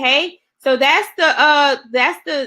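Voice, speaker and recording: Raising and projecting her voice, a woman speaks at a high pitch with lively intonation and a bright, sharp tone. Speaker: online business coach. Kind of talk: webinar presentation.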